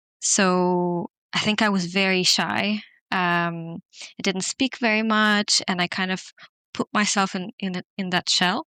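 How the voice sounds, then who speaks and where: Speaking slowly-ish at a fairly slow pace, a woman with a non-native accent has a bright, sharp tone, medium pitch and fairly even intonation, recorded very cleanly against a silent background with a dry, close sound and no echo. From non-English-speaking country, schooled in Switzerland from age 11. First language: not English. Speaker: podcast guest. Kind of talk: casual interview conversation. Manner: hesitant, many fillers.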